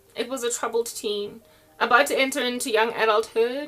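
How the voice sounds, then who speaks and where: A woman speaks at a moderate pace, her pitch fairly high with ordinary variation. Noticeable background noise runs behind her. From South Africa. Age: 40s. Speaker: online preacher. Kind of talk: casual monologue. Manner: animated.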